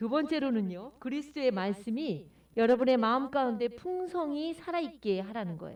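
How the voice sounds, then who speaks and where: A woman with a dark, mellow tone swings her pitch very widely as she speaks. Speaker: pastor. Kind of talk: sermon.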